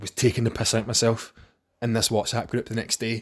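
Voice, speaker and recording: Somewhat breathy, a man speaks at medium pitch with a Scottish accent. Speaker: podcast host. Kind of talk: casual monologue.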